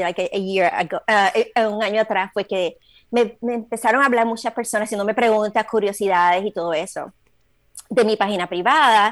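With a normal speaking voice, a woman talks at a medium pitch that shows ordinary pitch variation. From Puerto Rico. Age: 40s. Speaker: trail runner. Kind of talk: casual interview. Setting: video call.

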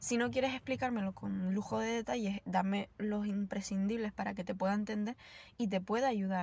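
A woman's somewhat breathy, medium-pitched voice at a moderate pace with ordinary pitch variation. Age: 20s. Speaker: yoga teacher. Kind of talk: casual monologue. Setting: in a car.

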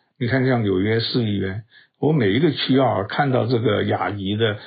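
At a moderate pace, the speech flows with fairly even intonation. A somewhat breathy quality runs through it. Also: man. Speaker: podcast news commentator. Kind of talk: solo news commentary. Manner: casual, with many fillers and hesitations.

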